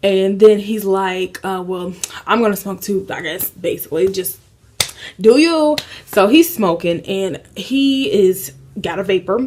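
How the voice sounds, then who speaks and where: With an American accent, a woman speaks in an ordinary speaking voice at a medium pitch and fairly slow pace, her intonation lively and her loudness swinging widely. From Indiana, USA. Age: 20s. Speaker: lifestyle YouTuber. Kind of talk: casual story time to camera. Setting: apartment, AC noise in background.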